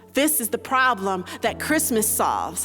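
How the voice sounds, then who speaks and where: The speaking pace is fairly slow. Music plays underneath. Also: woman. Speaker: spoken word poet. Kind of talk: spoken word poetry performance.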